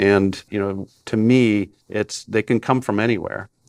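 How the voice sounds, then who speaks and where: With a dry, close sound and no echo, a man speaks in a fairly low pitch with ordinary pitch variation. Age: 60s. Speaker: industry analyst and company CEO. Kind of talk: podcast interview. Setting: recorded in Chicago.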